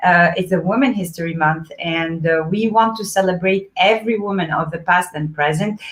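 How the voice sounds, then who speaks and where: Speaking with a strong French accent, a woman uses a fairly low, somewhat breathy voice at a moderate pace, with hardly any pauses and ordinary pitch variation. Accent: heavy French. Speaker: event host, boutique co-founder. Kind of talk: live online event introduction. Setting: livestream.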